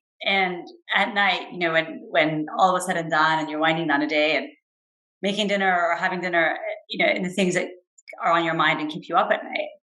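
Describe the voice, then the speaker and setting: With audible room echo, a woman speaks in a bright, sharp tone and ordinary pitch variation. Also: fairly low pitch for a woman, fairly quick pace. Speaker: venture capital investor. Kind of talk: interview. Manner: fast.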